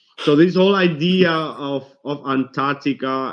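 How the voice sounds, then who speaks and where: Ordinary pitch variation from a man in a non-native accent. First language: not English. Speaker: conspiracy video host. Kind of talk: casual discussion. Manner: halting.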